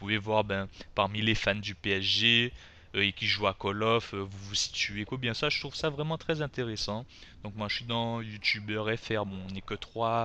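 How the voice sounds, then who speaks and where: A man's bright, sharp, fairly low voice against a quiet background. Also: fairly even intonation, fairly slow pace. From Guadeloupe. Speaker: gaming youtuber. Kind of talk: tutorial. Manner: casual, hesitant with fillers.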